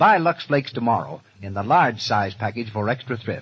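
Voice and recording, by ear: A man with a husky, rough edge and a fairly low pitch. His intonation is lively and his pace moderate.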